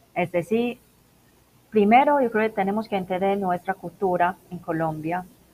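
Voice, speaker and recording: A woman's medium-pitched voice, with ordinary pitch variation, keeps a moderate pace. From Macau. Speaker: business internationalization consultant. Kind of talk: interview. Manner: halting.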